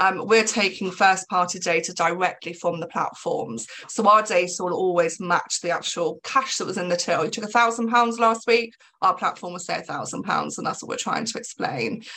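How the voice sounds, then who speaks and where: Over noticeable background noise, a woman with an English accent talks at a moderate pace and medium pitch, her intonation lively and hardly any pauses in her speech. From England. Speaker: business executive. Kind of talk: interview.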